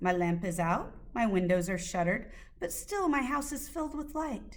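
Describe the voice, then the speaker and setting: A rumbling, put-on character voice moves at a moderate pace with very wide pitch swings. Audible echo trails the sound. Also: woman, fairly high pitch for a woman. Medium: read story. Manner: grumbling, muttering.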